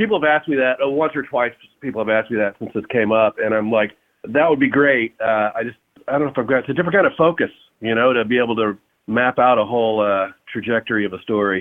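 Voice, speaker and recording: Very fast speech from a man at a medium pitch. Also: ordinary pitch variation. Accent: Texan. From Texas, Fort Worth. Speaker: rock singer and guitarist. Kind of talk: casual interview.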